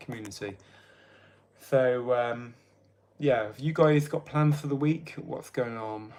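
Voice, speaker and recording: Speaking fairly slowly, a man talks with an English accent. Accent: English accent, noticed by viewers. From England. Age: 30s. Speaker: livestreamer. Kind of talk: casual livestream chat. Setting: live stream. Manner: chatty, informal.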